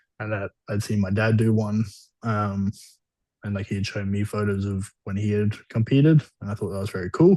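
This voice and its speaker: With an Australian accent, a man speaks at a moderate pace in a fairly low-pitched, dark, mellow voice with fairly even intonation, the sound dry and close with no echo over a quiet background. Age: 20s. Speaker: bodybuilder. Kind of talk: interview.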